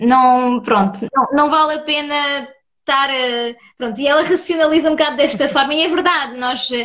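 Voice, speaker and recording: With a high voice and ordinary pitch variation, a woman talks at a moderate pace. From France. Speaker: podcast host. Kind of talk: casual interview on Instagram live. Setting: video call livestream.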